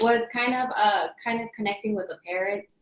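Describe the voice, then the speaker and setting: Her voice sits fairly high. She is a woman with a Spanish accent. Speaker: early education teacher. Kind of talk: panel discussion. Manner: hesitant, many fillers.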